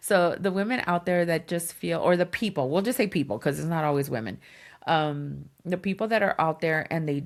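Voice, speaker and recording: An animated woman speaks at a moderate pace with ordinary pitch variation. The recording is very clean and the background silent. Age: 50s. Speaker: podcast co-host. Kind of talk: casual chat.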